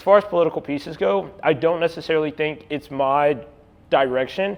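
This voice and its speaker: The man speaking has a fairly high voice. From East Texas, Longview. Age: 20s. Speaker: artist. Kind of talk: artist talk to audience. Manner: casual, filler-heavy.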